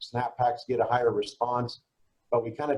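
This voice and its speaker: A man speaks in a somewhat breathy voice. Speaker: direct mail marketer. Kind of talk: webinar presentation. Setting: online webinar. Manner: fast; casual.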